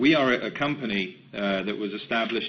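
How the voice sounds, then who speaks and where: A man talks in an English accent. His pitch is fairly low. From England, London. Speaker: company executive. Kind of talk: webinar presentation. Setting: webcast. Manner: halting.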